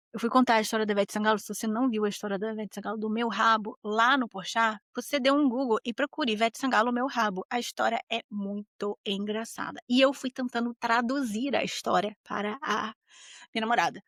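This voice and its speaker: A woman talks at a fairly quick pace with a fairly high pitch and an animated tone. The sound is dry and close, with no echo. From Brazil. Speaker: podcast host. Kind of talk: casual monologue podcast.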